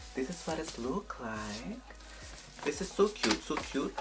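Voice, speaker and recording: The speaker has a French accent and keeps a moderate pace. Background noise is noticeable. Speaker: beauty youtuber. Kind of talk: product unboxing and review vlog. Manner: animated.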